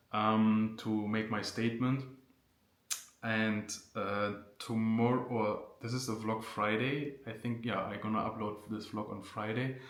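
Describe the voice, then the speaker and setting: A medium-pitched man talks at a fairly slow pace with a German accent in a flat monotone, amid audible room echo and noticeable background noise. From Germany. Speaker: vlogger. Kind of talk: casual Q&A vlog. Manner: unscripted, hesitant with fillers.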